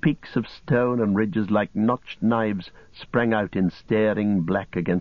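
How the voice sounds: Text is being read out. The delivery sounds natural.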